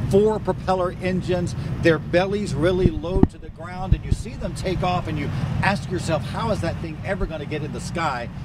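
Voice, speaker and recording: Noticeable background noise surrounds a high-voiced man speaking with an American accent at a moderate pace. His loudness swings widely, while his pitch varies in an ordinary way. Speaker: TV news anchor and reporter. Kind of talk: live field news report at a crash scene. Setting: outdoors at night, on location.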